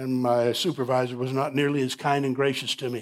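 With an American accent and monotone, flat intonation, a man talks at a moderate pace on a very clean recording with a silent background. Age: 60s. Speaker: pastor. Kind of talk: sermon. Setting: church.

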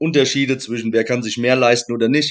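This man has a normal speaking voice at a medium pitch, with fairly even intonation. The background is quiet. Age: 40s. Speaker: American football head coach. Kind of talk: podcast interview.

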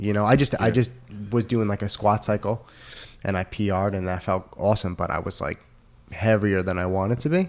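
On a very clean recording with a silent background, an ordinary speaking voice goes at a fairly quick pace, its pitch varying in an ordinary way. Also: man, fairly low pitch for a man. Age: 20s. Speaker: gym member and former touring musician. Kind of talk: casual chat.

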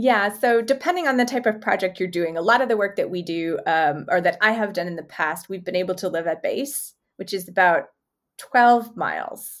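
With a Canadian accent and lively intonation, a woman talks at a moderate pace and medium pitch in an unremarkable speaking voice, on a very clean recording with a silent background. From Canada, Manitoba (Winnipeg). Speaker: zoologist and professor. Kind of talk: interview.

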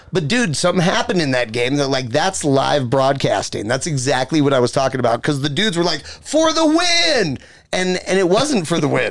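A man speaks with lively intonation at a fairly quick pace, his pitch fairly high. His loudness stays very even, and there is noticeable background noise. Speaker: radio and TV host. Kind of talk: casual banter.

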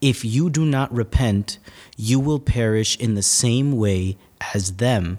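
An unremarkable speaking voice from a man with an American accent, medium in pitch with ordinary pitch variation, on a very clean recording with a silent background. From North Jersey, West New York. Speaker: seminarian. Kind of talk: casual interview. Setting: recording on the road at a seminary.

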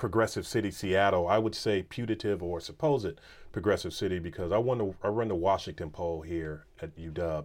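A man talks in a plain, everyday voice at a fairly low pitch with ordinary pitch variation. The pace is moderate, and the recording is very clean with a silent background. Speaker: professor. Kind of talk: interview conversation.

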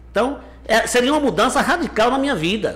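A man is talking. His delivery moves at a fairly quick pace. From Bahia, Brazil (Conceição do Coité). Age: 50s. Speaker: mayor. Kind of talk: interview.

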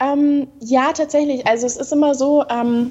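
Against noticeable background noise, a woman speaks in a high pitch with fairly even intonation. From Bavaria, southern Germany. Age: 20s. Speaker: model and entrepreneur. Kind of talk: interview.

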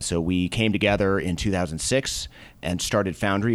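Ordinary pitch variation from a man with an American accent, captured on a very clean recording against a silent background. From US Northeast, Boston. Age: middle-aged. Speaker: venture capitalist. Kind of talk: interview.

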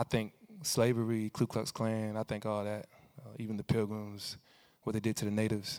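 Speaking at a moderate pace with an American accent, a man with a fairly low voice swings widely in loudness, in a very clean, dry, close recording with no echo and a silent background. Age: 30s. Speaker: preacher and rapper. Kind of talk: sermon. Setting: hall with student audience. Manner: animated.

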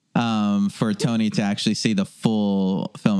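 A man talks with an American accent and ordinary pitch variation. Noticeable background noise sits behind his voice. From Los Angeles, North Hollywood. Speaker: documentary filmmaker. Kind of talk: casual chat.

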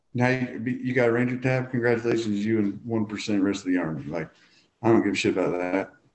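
A man with a Southern US accent talks at a very fast pace, with a medium pitch and ordinary pitch variation. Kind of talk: casual interview chat.

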